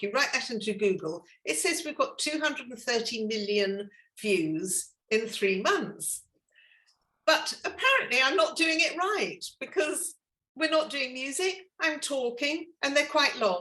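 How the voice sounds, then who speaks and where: A woman with an English accent speaks in a raised, projected voice at a high pitch and a fairly slow pace. Her tone is enthusiastic, with very wide pitch swings. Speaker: afternoon tea business owner and social media creator. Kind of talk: podcast interview guest. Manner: witty, enthusiastic.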